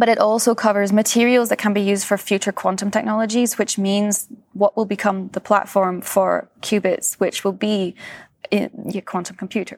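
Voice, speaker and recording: A woman with a Scottish accent speaks at a medium pitch and a moderate pace in a monotone, flat intonation, on a very clean recording with a silent background and a dry, close sound with no echo. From Scotland. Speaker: physicist. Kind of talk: interview.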